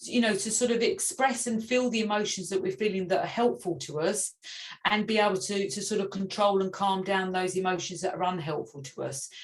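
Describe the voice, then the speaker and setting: Somewhat breathy, a woman speaks at a medium pitch and a fairly quick pace. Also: ordinary pitch variation. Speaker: parenting resilience workshop facilitator. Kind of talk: online workshop presentation. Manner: fast, self-correcting with many fillers.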